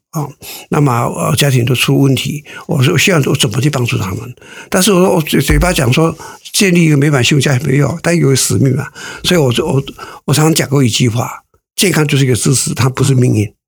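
Very fast delivery with ordinary pitch variation. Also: man, fairly high pitch for a man. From rural Taiwan. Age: 70s. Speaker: company founder. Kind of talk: interview. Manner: halting.

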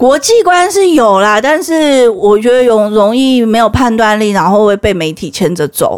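A woman talks at a moderate pace with hardly any pauses. Her fairly high pitch swings very widely. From Taiwan. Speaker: history teacher. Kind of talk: casual chat. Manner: animated.

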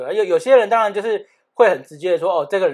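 The speech comes at a very fast pace in a Taiwanese accent. It is a very clean recording with a silent background. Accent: Taiwanese Mandarin. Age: 30s. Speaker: podcast co-host. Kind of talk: casual chat.

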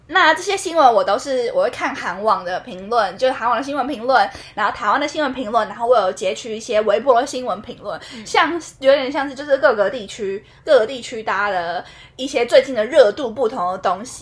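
A woman's high-pitched, animated voice, fairly quick, with lively intonation and big swings in loudness. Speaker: podcast co-host. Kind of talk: casual chat. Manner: animated, frequent laughter.

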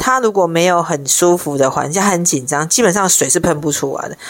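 A woman talks in an animated tone at a fairly low pitch with ordinary pitch variation. Noticeable background noise is present. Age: 50s. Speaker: podcast co-host, sex and relationship talk. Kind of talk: casual chat. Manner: animated, frequent laughter.

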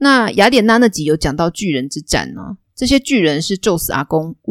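The background is quiet, and the unforced reading voice has lively intonation.

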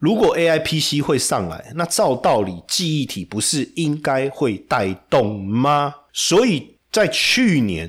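In a Taiwanese accent, a man speaks at a very slow pace with very wide pitch swings. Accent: Taiwanese Mandarin. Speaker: stock market commentator. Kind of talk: market analysis monologue. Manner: animated.

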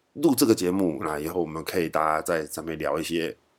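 The speaker talks at a fairly quick pace with a Taiwanese accent. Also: man, very clean recording, silent background. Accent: Taiwanese Mandarin. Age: 40s. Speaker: podcast host. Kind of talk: casual monologue. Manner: halting, many fillers.

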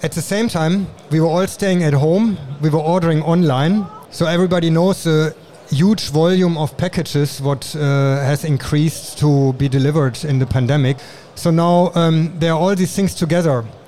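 A man with a German accent at a fairly high pitch, very even in loudness, over noticeable background noise. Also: ordinary pitch variation, moderate pace. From Germany. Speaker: industrial designer and awards judge. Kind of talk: interview. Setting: trade show.

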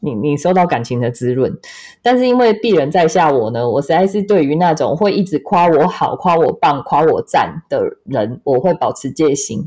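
Over a quiet background, a dark, mellow voice moves at a moderate pace through very wide pitch swings. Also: woman, fairly low pitch for a woman. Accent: Taiwanese. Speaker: podcast host and astrology consultant. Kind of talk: casual chat.

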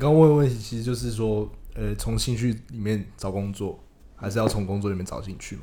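Audible room echo surrounds a man's fairly low, dark, mellow voice. He moves at a fairly quick pace with ordinary pitch variation. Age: 20s. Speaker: podcast co-host, freelance marketer. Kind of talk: casual chat.

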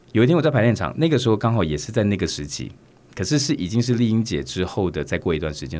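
This man's voice shows vocal fry and swings very widely in pitch. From Taiwan (Kaohsiung). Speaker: stage and TV actor. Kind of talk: interview.

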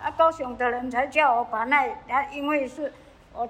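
Fairly even intonation from a woman with a high pitch. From Taiwan, Nantou (Yuchi). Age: 70s. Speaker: retired cleaner. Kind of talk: interview. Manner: halting.

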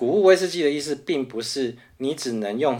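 Here a man speaks at a moderate pace, his pitch swinging very widely. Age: 40s. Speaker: podcast co-host, whisky enthusiast. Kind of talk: casual chat.

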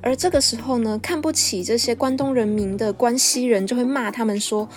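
A high-pitched woman talks at a moderate pace in an animated tone. There is noticeable background noise. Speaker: podcast host. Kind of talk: solo podcast monologue.

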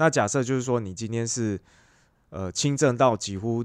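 With a Taiwanese accent, a man speaks at a fairly low pitch with lively intonation on a very clean recording with a silent background. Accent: Taiwanese Mandarin. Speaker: podcast co-host. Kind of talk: casual chat.

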